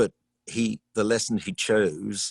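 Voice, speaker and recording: The speaker has a southern English accent. The sound is dry and close, with no echo. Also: man. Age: 70s. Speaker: choral conductor. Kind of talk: casual interview.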